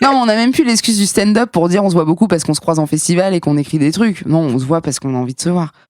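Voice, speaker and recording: Very fast pace, animated tone and lively intonation. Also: woman. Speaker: comedian. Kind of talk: casual chat. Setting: studio.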